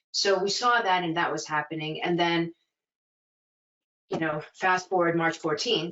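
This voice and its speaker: Speaking in a New York accent, a woman uses a very deep, low pitch and fairly even intonation. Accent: New York American. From New York City (Flushing, Chinatown). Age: 40s. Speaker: museum director. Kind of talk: interview conversation. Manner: smiling while talking.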